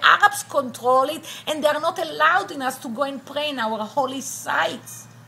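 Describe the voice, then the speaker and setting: A woman speaks in a high pitch with an Israeli accent, her voice raised and projected. Noticeable background noise runs under her. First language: Hebrew. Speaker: attorney and university professor. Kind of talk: personal testimony interview.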